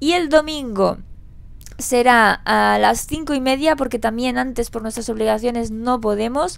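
Animated in tone, a woman with a high pitch talks at a fairly slow pace with ordinary pitch variation. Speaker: gaming youtuber. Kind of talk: vlog.

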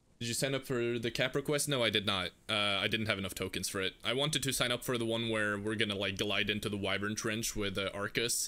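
This man speaks very fast with hardly any pauses. His fairly low voice has a bright, sharp tone. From Norway. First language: Norwegian. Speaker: gaming streamer. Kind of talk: live gameplay stream chat. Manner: casual, animated.

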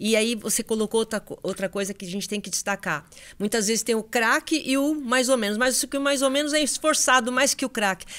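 The woman's speech runs fairly quickly, with normal pitch movement. Nothing else can be heard around her. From Brazil. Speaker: sports journalist and podcast host; sports journalist, podcast host. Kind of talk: interview. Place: studio. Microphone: studio mic.

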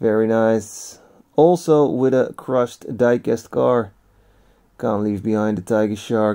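Against a quiet background, a man talks fairly slowly in a dark, mellow tone with ordinary pitch variation. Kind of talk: casual vlog chat. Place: shop. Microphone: phone near.

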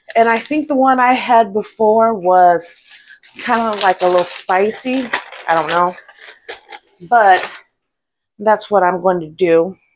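A woman speaks at a fairly slow pace with ordinary pitch variation and long, frequent pauses. Light background noise is present. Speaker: home cooking vlogger. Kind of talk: casual vlog chat. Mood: cheerful, relaxed. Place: kitchen. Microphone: lapel.

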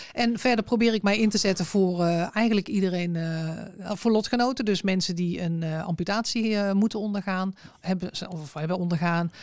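This woman has an unremarkable speaking voice, pitched in the middle, moving at a moderate pace with ordinary pitch variation. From North Brabant, southern Netherlands (Berkel-Enschot, Tilburg). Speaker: amputee and accessibility advocate. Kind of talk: interview conversation. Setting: studio.

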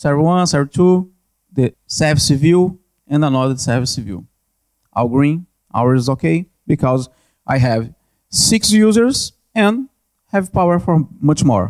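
A man at a fairly slow pace with a Brazilian accent, fairly high in pitch, lively in intonation, against a quiet background. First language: Portuguese. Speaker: network analyst, conference speaker. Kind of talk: conference presentation with Q&A. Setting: conference stage with audience. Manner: halting, hesitant with repetitions. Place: hall. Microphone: handheld.

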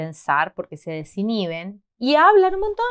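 Against a quiet background, a woman with an Argentine accent speaks in an animated tone at a fairly slow pace. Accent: Argentine Spanish (Rioplatense, voseo). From Argentina. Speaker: Spanish teacher, video host. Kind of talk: tutorial. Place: home room.

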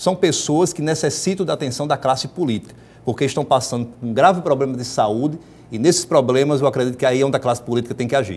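A man races along at a very fast pace while his pitch varies in an ordinary way. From Rio Grande do Norte, Brazil (rural, Mossoró area); Rio Grande do Norte, Brazil. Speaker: state politician; guest. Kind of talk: TV interview. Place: studio. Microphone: lapel.

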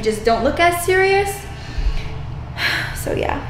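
Lively intonation comes at a moderate pace in this clip. Light background noise and audible room echo are present. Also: woman. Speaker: fitness vlogger. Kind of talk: casual vlog chat. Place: bathroom. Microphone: phone near.

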